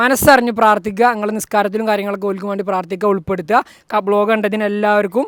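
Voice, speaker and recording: A man's high-pitched voice with a bright, sharp tone and fairly even intonation. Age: 20s. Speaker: vlogger. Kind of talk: casual vlog talk. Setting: at a wedding event.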